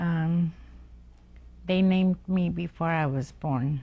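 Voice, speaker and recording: Speaking with a Lakota accent, a woman talks at a very slow pace. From US Great Plains, Pine Ridge area, South Dakota. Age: old. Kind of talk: oral history interview. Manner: halting, many fillers.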